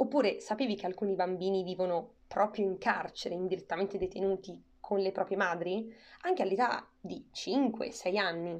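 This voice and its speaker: A woman speaks in a plain, everyday voice. Her intonation stays fairly even. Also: medium pitch for a woman, moderate pace. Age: 20s. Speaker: podcast host. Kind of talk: scripted narration.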